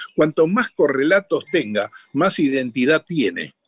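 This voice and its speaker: Vocal fry marks a man's moderate-paced speech, which sounds dry and close with no echo. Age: 80s+. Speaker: voice actor and comedian. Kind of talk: radio interview.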